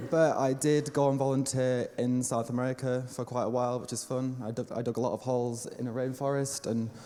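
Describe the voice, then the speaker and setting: A man speaks at a medium pitch and a fairly quick pace, his tone dark and mellow. His intonation stays monotone and flat. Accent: Lancashire. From northern England, Lancashire. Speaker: event coordinator. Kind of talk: welcome speech.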